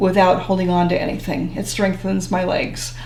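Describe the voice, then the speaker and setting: There is audible room echo along with noticeable background noise. Through it, a woman talks in a fairly low pitch. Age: 70s. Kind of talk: interview.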